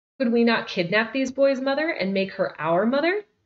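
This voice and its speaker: Here a woman puts on a character voice. It sits fairly high and moves at a moderate pace. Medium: read story.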